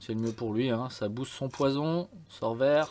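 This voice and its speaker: A man with a medium pitch talks very slowly, his pitch varying in an ordinary way. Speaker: game tutorial youtuber. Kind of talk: tutorial. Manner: hesitant, many fillers.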